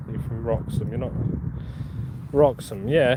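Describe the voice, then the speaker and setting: There is audible room echo and noticeable background noise. A man talks at a medium pitch. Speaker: metal detecting YouTuber. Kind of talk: live stream chat. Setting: outdoors in a field. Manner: casual, chatty.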